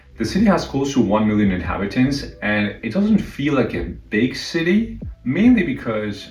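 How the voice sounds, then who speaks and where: Lively intonation comes with a Spanish accent at a moderate pace. Audible room echo and noticeable background noise surround the voice. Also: man. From northern Mexico, Saltillo. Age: 30s. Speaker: live streamer. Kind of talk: casual chat.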